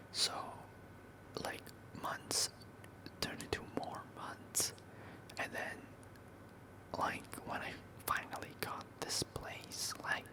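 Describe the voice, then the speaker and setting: Over noticeable background noise, a whisper moves along very slowly, broken by long, frequent pauses. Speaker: ASMR content creator. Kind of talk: ASMR whispered talk to camera.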